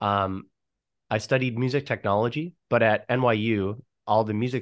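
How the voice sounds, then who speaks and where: Against a quiet background, a normal speaking voice with an American accent moves at a fairly slow pace with fairly even intonation, the sound dry and close with no echo. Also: man. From New York state, US. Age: 30s. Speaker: musician and writer on theology. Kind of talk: casual interview conversation. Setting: video call.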